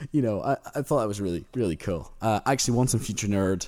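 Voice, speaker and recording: A man speaks with an Irish accent at a fairly low pitch and a moderate pace. His tone is dark and mellow, and the recording is very clean with a silent background. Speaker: podcast host. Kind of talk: monologue, casual update to listeners. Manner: casual, chatty, repeats emphasis.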